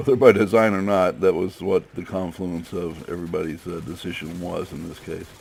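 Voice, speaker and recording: A man with a very deep, low pitch talks with hardly any pauses, his loudness swinging widely. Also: ordinary pitch variation, fairly quick pace. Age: 60s. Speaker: gaming video creator. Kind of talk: gameplay commentary. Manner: casual, halting with many fillers.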